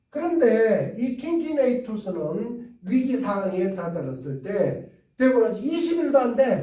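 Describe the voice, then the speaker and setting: Amid audible room echo, a man talks fairly slowly at an extremely high pitch. His pitch swings very widely. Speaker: history lecturer. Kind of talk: lecture. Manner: repetitive, with filler sounds.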